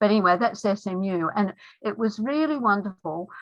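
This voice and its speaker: A woman speaks at a moderate pace and a medium pitch. She has an Australian accent. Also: quiet background. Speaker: feminist lawyer. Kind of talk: talk.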